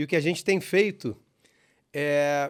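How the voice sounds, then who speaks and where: A man speaks with a fairly high pitch and ordinary pitch variation. The recording is very clean, with a silent background. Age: 40s. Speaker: sales franchise owner, guest. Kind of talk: casual interview chat. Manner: animated.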